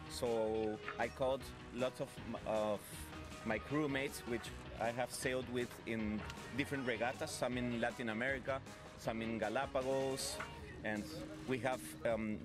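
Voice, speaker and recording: A man speaks at a moderate pace with ordinary pitch variation. The sound is dry, with no echo, and clear music plays in the background. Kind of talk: interview answer. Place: boat. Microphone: handheld.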